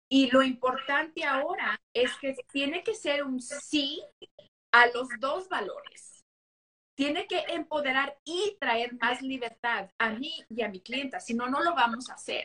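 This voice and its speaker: Raised and projected, a woman's high, bright, sharp voice moves at a very slow pace with lively intonation. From Mexican-American, US. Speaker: business owner and coach. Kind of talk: live interview. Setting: Instagram live stream.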